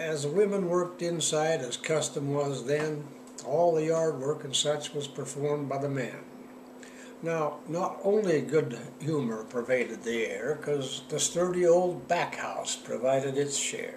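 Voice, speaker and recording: Over noticeable background noise, a man with a fairly high pitch talks at a fairly slow pace with ordinary pitch variation. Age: 80s+. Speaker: cowboy poet. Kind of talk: poetry reading.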